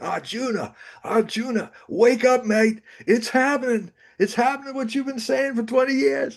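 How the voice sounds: A man puts on a drawling character voice at an extremely high pitch, speaking at a moderate pace in an Australian accent.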